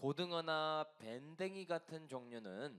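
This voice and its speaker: Speaking very slowly, the voice swings very widely in pitch. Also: man. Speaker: pastor. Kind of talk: sermon. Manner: halting with fillers.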